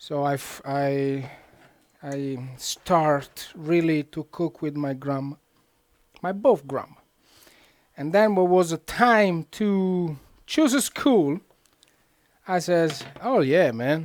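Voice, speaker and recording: Over a silent background in a very clean recording, a man with a fairly high pitch speaks very slowly with long, frequent pauses. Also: ordinary pitch variation. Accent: Italian. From central Italy. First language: Italian. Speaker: cook, cooking show host. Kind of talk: live cooking tutorial. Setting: kitchen, live stream. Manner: casual, animated.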